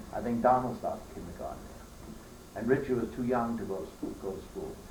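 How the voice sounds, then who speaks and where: In an American accent, a man talks at a fairly quick pace and medium pitch with ordinary pitch variation, and audible room echo surrounds him. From New York, Queens. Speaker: elderly relative telling family history. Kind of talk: family oral history interview. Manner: halting.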